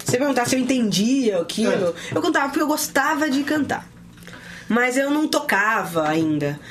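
Set against noticeable background noise, a high-pitched woman speaks at a moderate pace, her pitch swinging very widely while her loudness stays very even. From São Paulo city, Brazil. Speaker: worship singer. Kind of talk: interview. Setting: studio.

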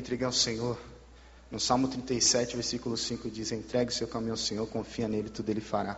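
Noticeable background noise runs under this recording. A man at medium pitch talks at a fairly quick pace in a monotone, flat intonation. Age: 20s. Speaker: missionary, former drug user. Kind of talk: testimony. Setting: church service.

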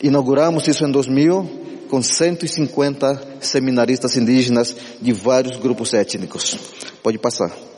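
Speaking with an Amazonian accent at a fairly slow pace, a man uses a medium pitch and ordinary pitch variation against noticeable background noise. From Ticuna people, Amazonas, Brazil. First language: Ticuna (speaking Portuguese). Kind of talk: church talk.

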